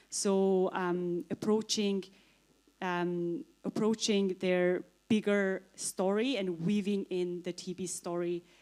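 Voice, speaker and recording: In a Mongolian accent, a woman speaks at a very slow pace. Her medium-pitched voice has a dark, mellow tone and fairly even intonation. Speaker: author and TB survivor. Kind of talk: panel answer at conference.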